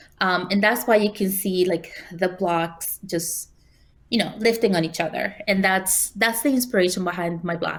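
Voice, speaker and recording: A woman speaks with a Spanish accent at a medium pitch and a moderate pace. The recording is very clean, with a silent background. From Spanish-speaking country, moved to New York City at 15. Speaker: quilt designer and teacher. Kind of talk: interview.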